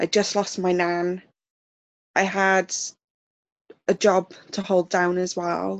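Against a quiet background, a woman with a South Welsh accent speaks at a very slow pace in a medium pitch, with monotone, flat intonation and long, frequent pauses. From South Wales. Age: 20s. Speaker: survivor sharing personal story. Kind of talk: testimony.

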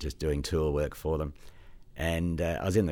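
An Australian accent comes from a man with a very deep, low pitch. Vocal fry runs through his voice. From Australia, Sydney. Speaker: driver education specialist. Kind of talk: casual interview. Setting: studio. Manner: halting.

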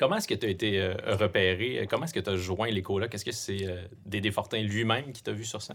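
A man with a Quebec accent talks at a very fast clip, his pitch fairly low. His loudness swings widely. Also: ordinary pitch variation. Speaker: podcast host. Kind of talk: interview conversation. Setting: studio.

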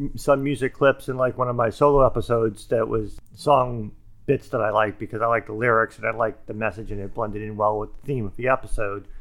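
A man talks at a fairly quick pace in a medium pitch. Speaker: podcast co-host. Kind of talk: casual chat. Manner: strongly fluctuating volume; loud, sometimes shouts.

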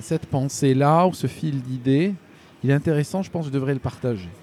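With lively intonation and a dark, mellow tone, a man talks at a fairly quick pace in a fairly high pitch. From Algeria. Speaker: YouTube news commentator. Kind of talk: casual interview. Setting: in person, Paris. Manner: halting, many repetitions.

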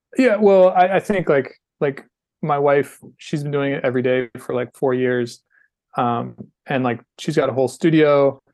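Here is a man with an ordinary speaking voice and an American accent, pitched fairly high. He talks at a moderate pace with ordinary pitch variation. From North Carolina. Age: 40s. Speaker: skateboarding podcast host and filmer. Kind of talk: casual interview chat.

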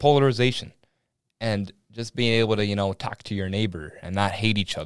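In a very clean recording with a silent background, a man with an American accent speaks at a very fast pace and a fairly low pitch, with ordinary pitch variation. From Minnesota, small town. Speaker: podcast host, college student. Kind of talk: casual political discussion; opinion monologue.

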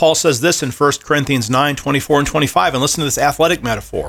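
The very clean recording with a silent background carries a man's ordinary speaking voice, pitched fairly high with ordinary pitch variation. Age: 40s. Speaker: seminary professor. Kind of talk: casual chat.

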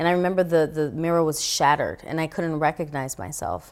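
With an American accent, a woman speaks in a very deep, low pitch with ordinary pitch variation, in a very clean recording with a silent background. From New York City, the Bronx. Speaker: actress and motivational speaker. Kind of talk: testimony. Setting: studio.

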